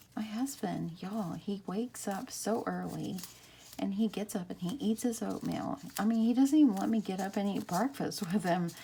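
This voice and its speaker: A woman with an American accent, medium-pitched with a dark, mellow tone and vocal fry, at a moderate pace with ordinary pitch variation. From Texas. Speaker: craft YouTuber. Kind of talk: craft tutorial. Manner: casual, chatty.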